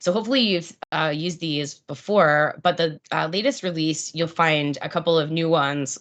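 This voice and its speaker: A woman with an American accent talks at a moderate pace with hardly any pauses. Her pitch is fairly low, with ordinary variation. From US, Pittsburgh. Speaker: product marketing presenter. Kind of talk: product webinar presentation. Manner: animated, enthusiastic; many fillers (um, uh).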